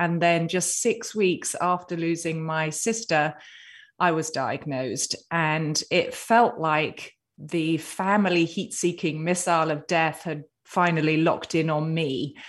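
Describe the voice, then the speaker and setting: In an English accent, the speaker talks at a fairly slow pace with ordinary pitch variation over a quiet background. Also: woman, fairly low pitch for a woman. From Britain. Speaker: author and cancer survivor. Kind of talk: interview.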